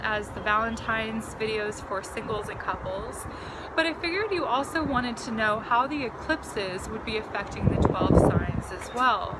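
Over loud background noise, a woman speaks at a moderate pace with ordinary pitch variation. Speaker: tarot reader. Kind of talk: casual vlog chat. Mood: warm, upbeat. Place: garden. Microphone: phone near.

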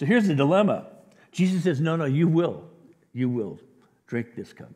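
A man with a fairly high pitch, a slightly husky edge and a slightly mellow tone speaks at a moderate pace with big pitch swings.

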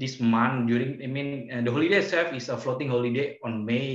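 In an Indonesian accent, a man talks at a moderate pace with ordinary pitch variation. The background is quiet, though room echo is audible. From Yogyakarta, Indonesia. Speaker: virtual tour guide. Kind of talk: casual virtual tour presentation. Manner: hesitant, conversational. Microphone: video call.

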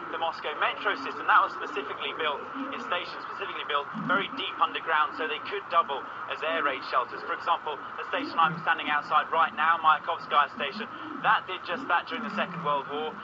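The talking goes at a very fast pace with ordinary pitch variation. Noticeable background noise is present. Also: man. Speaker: news correspondent. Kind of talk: news report answer. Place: street.

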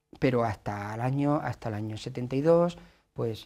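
A man speaks with a central Spanish accent in a dark, mellow tone. The background is quiet. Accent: central Spain Castilian Spanish. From Spain, Toledo province; Spain. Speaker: author and teacher; teacher. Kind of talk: interview. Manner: halting, many repetitions. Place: studio. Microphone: lapel.

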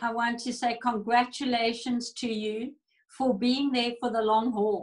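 In a quiet background, a woman speaks at a high pitch. Her intonation is monotone and flat, and her pace fairly slow. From South Africa. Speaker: church pastor. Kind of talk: fervent prayer, interceding aloud for the nations, with prophetic declarations; casual interview chat. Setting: video call. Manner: passionate, urgent, pleading, earnest. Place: home room. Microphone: video call.

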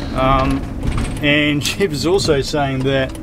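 Loud background noise surrounds a man's voice. The sound itself is dry, with no echo. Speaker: travel vlogger. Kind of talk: casual vlog chat. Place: car.

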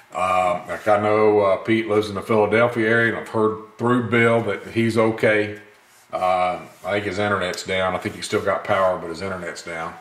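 A man speaks at a moderate pace with a Mississippi accent. His intonation is flat and monotone, and there is audible room echo. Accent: Southern US (Mississippi). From US South, Gulfport, Mississippi. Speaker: gun video channel host. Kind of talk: casual vlog talk to camera. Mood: earnest, opinionated. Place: workshop. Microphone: camera far.

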